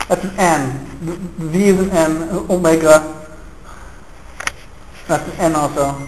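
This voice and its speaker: A man's fairly high, fairly even voice at a fairly slow pace, with long, frequent pauses and noticeable background noise. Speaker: university lecturer. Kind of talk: seminar lecture. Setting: classroom. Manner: stuttering.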